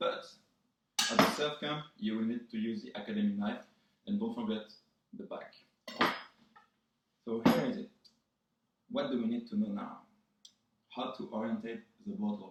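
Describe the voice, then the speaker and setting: A man with a slight French accent talks at a moderate pace, with long, frequent pauses. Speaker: vlogger. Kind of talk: tutorial. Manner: casual, joking.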